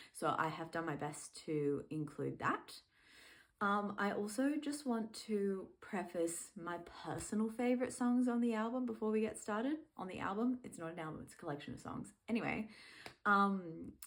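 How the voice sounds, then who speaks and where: With lively intonation, a woman speaks in an Australian accent. Her pitch is medium and her pace moderate. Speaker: music fan and video creator. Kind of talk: casual vlog monologue. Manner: casual, many fillers.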